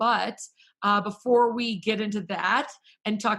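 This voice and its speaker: A woman at a moderate pace with an American accent, a plain, everyday voice and medium pitch. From Wisconsin, US Midwest. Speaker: talk show host. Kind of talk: casual interview chat.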